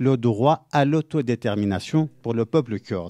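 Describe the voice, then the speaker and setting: Speaking at a fairly slow pace, a man uses a medium pitch and a dark, mellow tone with ordinary pitch variation. The sound is dry and close with no echo, over a quiet background. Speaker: researcher in political sociology. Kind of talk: panel talk. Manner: hesitant, many fillers.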